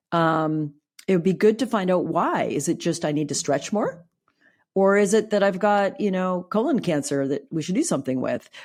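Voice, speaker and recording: A woman has an ordinary speaking voice at medium pitch, with lively intonation at a moderate pace. The recording is very clean, with a silent background. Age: 60s. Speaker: clinical psychologist and sex therapist. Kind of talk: podcast interview.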